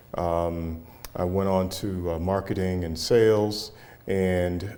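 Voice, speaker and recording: In a room with audible echo, a man with an American accent talks at a very slow pace, his very deep, low voice dark and mellow in tone and fairly even in intonation. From US Midwest, Cleveland, Ohio. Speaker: business owner, chamber leader. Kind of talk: interview.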